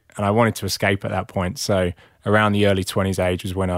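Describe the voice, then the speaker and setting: In a dry, close sound with no echo, a man speaks in a flat monotone. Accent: English. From England. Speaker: founder of a men's support group. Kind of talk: casual chat. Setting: studio.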